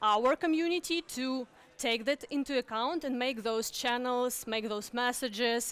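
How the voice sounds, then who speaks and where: Speaking at a fairly slow pace, a woman has a high voice with ordinary pitch variation, recorded dry and close with no echo. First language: not English (English is her third language). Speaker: conference speaker, community builder. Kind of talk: conference talk. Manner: halting, many fillers and restarts.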